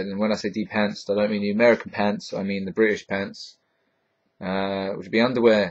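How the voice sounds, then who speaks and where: In a Hertfordshire accent, a man speaks at a fairly quick pace. His pitch sits fairly low. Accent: southern English, Hertfordshire, a bit London. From Hertfordshire, southern England. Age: 20s. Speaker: vlogger. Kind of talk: casual vlog answering viewer questions. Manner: halting, stumbles over sentences; casual, filled with ums.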